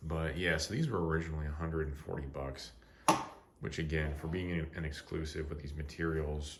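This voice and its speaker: Quietly and at a fairly quick pace, a man speaks in a very deep, low pitch with vocal fry and audible room echo. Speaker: knife reviewer. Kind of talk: product review. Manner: quiet, keeping voice down; casual, filler-heavy.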